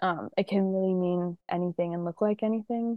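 With an American accent, a woman speaks in a plain, everyday voice at a moderate pace. Her pitch is medium and her intonation fairly even. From US South, Georgia (Atlanta area). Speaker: actress. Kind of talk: casual interview.

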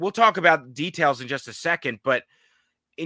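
Recorded close and dry with no echo in a very clean take over a silent background, a man talks at a moderate pace with lively intonation and a bright, sharp tone. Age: 30s. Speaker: sports podcast host. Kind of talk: casual chat.

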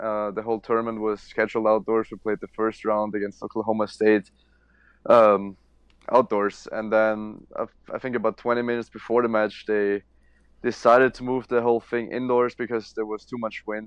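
A man talks at a moderate pace and medium pitch. His intonation stays flat and monotone. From Austria. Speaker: college tennis player. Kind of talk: interview.

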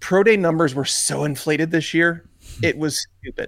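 A man speaks at a moderate pace with an American accent, his pitch high and its variation ordinary. The sound is dry and close, with no echo. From Chicago. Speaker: fantasy football analyst. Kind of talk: casual chat.

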